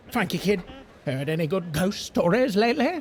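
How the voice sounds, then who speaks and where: This is a put-on character voice with an enthusiastic tone. The pitch sits in the middle and the pace is moderate. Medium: video game. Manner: enthusiastic, chatty.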